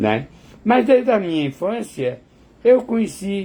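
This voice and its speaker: Ordinary pitch variation in a male voice with a dark, mellow tone. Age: 70s. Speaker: vlogger. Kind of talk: casual monologue to camera. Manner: halting.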